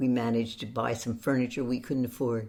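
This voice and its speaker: A woman's very deep, low voice with a dark, mellow tone and an American accent, in a very clean recording with a silent background. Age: 80s+. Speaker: author and occasional actress. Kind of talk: interview, personal storytelling.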